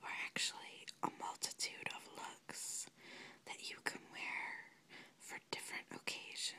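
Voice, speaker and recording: Here a woman is whispering. She keeps to a fairly slow pace. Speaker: ASMR creator, makeup enthusiast. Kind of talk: casual talk to camera, product show-and-tell. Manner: whispered, relaxing. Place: home room. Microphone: phone near.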